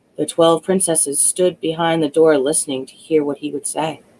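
A moderate pace carries the speech. The voice is a woman's. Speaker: storyteller. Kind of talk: reading a fairy tale aloud. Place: home room.

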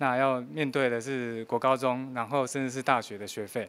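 The voice is a man's. He keeps to a moderate speed. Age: 50s. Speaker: working father, former electronics manager; interviewee. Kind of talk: news interview; interview answer. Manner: halting, many filler sounds. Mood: earnest, reflective about hardship. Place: meeting room. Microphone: handheld.

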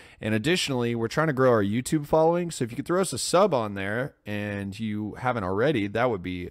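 Hardly pausing, a man speaks at a fairly quick pace. The background is quiet and the sound dry, with no echo. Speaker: podcast host. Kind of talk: podcast intro and plugs. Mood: relaxed, casual. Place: home room. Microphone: studio mic.

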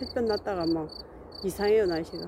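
Recorded dry with no echo and noticeable background noise, a woman talks at a medium pitch with ordinary pitch variation. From South Korea. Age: 50s. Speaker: vlogger. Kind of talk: casual vlog narration. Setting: outdoors. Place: open country. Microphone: phone near.

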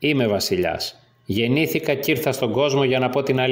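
What you hear is plain reading aloud.

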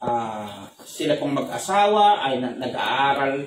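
A man speaks in a solemn tone. The room echo is audible, with light noise in the background. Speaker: pastor. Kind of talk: fervent prayer, addressing God aloud. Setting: online church service, remote at home. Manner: earnest, pleading, solemn and heartfelt. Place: home room.

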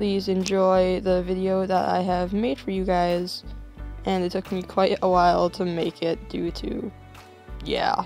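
Music plays in the background. A woman speaks at a medium pitch in a calm, relaxed tone. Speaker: hobby digital artist. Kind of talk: drawing tutorial talk.

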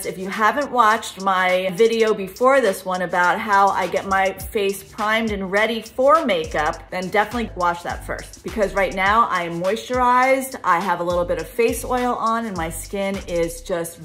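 Faint music plays in the background. The speaker keeps a moderate pace with hardly any pauses and ordinary pitch variation. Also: woman. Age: 50s. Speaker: life and relationship coach. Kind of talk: casual talk to camera. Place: home room. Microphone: phone near.

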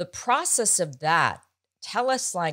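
A woman talks at a very slow pace with very wide pitch swings. The background is quiet. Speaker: podcast host. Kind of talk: casual chat and interview. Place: home room. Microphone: studio mic.

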